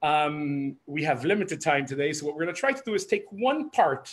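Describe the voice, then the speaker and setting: The pace is fairly quick. The pitch swings very widely. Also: man. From Israel, Jerusalem. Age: 30s. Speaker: human rights activist and army veteran. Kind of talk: lecture. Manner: hesitant, many fillers.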